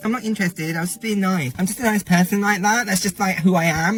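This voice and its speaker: A man with a high pitch speaks at a very fast pace in a raised, projected voice. His tone is animated, and there is noticeable background noise. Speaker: dating commentator. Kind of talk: reaction commentary.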